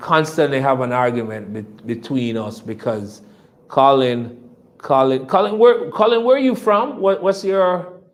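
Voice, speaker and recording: A man with a Jamaican accent, medium pitch, lively intonation and a fairly slow pace. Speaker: company executive. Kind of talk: investor presentation. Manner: repetitive, hesitant.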